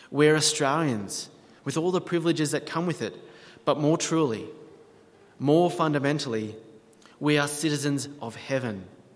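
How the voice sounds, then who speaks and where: A man speaks at a moderate pace with a fairly high pitch. There is audible room echo. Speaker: pastor. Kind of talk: sermon.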